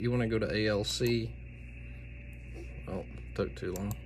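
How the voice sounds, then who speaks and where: Somewhat breathy and fairly low-pitched, a man speaks at a moderate pace with very wide pitch swings and long, frequent pauses amid audible room echo. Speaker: amateur radio operator. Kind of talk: tutorial. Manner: casual, with many fillers.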